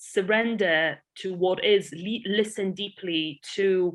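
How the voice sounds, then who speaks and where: Here a woman speaks with a Polish accent. Her pitch is medium, with ordinary pitch variation. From Poland. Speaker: entrepreneur and investor. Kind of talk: podcast interview.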